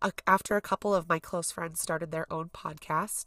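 A woman's bright, sharp voice carries vocal fry and ordinary pitch variation, in a dry, close sound with no echo. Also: very clean recording, silent background. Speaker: podcast host. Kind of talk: casual monologue. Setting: outdoors at a campsite.

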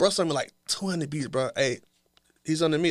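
Ordinary pitch variation accompanies a fairly quick delivery. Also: man. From US South, Georgia (Savannah, then Atlanta area). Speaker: rapper. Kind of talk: casual chat.

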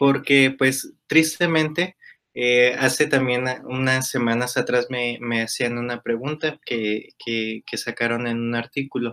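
Very slow speech from a man, medium in pitch, with a bright, sharp tone and fairly even intonation. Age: 20s. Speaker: primary school teacher. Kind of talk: interview conversation. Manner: halting, many fillers.

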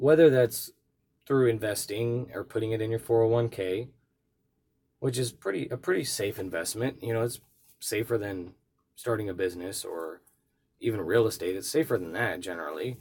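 A somewhat breathy, medium-pitched man at a moderate pace, with ordinary pitch variation and long, frequent pauses. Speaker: podcast host, reseller. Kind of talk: casual monologue.

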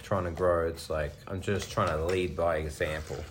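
Someone with an Australian accent talks at a moderate pace in a somewhat breathy voice, with audible room echo. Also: man. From Australia, rural Victoria. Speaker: personal trainer. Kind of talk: casual chat.

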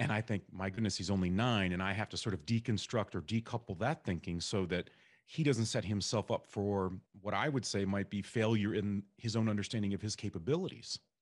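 Speaking at a fairly quick pace, a man has a fairly low pitch and a normal speaking voice. His pitch varies in an ordinary way, and the background is quiet. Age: 40s. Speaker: podcast host. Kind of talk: interview.

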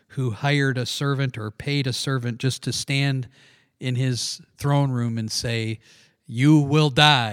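A man with an unremarkable speaking voice talks at a fairly slow pace and a medium pitch. His intonation stays fairly even, and the recording is very clean with a silent background. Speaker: podcast host. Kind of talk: casual religious discussion. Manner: chatty.

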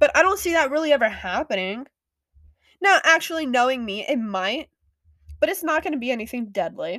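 A woman talks at a fairly quick pace and high pitch, with very wide pitch swings and long, frequent pauses. The recording is very clean, with a silent background. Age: 20s. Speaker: podcast host, college student. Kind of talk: casual monologue. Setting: lying in bed at home. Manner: chatty, sighing and yawning.

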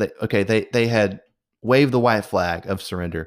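An unremarkable speaking voice from a man, medium in pitch with ordinary variation, at a moderate pace, in a very clean recording over a silent background. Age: 30s. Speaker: podcast host. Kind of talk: casual monologue.

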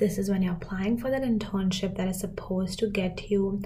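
A woman's medium-pitched voice with ordinary pitch variation and audible room echo. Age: 20s. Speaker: podcast host. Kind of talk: casual monologue.

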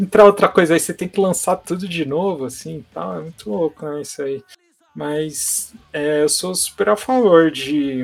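An unremarkable speaking voice moves at a moderate pace with lively intonation. Its loudness swings widely. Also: man, fairly high pitch for a man. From Santos, São Paulo state, Brazil. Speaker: hardcore guitarist and label owner. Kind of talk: casual interview.

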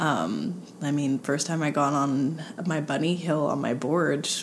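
Amid noticeable background noise, a woman speaks with a very deep, low pitch and fairly even intonation. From Montreal, Quebec. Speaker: movement specialist. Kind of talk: casual chat.

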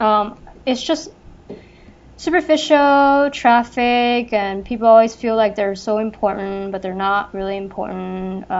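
A woman with a Californian accent, fairly high pitch and ordinary pitch variation, at a fairly slow pace. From Los Angeles, California. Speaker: podcast co-host. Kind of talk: casual chat.

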